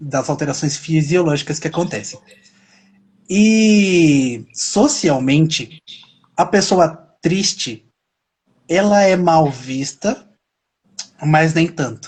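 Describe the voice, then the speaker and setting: A man's fairly high voice, very slow, with ordinary pitch variation and long, frequent pauses. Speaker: self-knowledge talk show host. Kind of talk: casual interview chat on live stream. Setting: live stream. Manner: gets loud and higher when excited.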